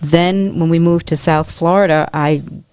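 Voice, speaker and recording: A woman with a New York accent at a moderate pace, over noticeable background noise. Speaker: real estate agent and dance company volunteer. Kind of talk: podcast interview.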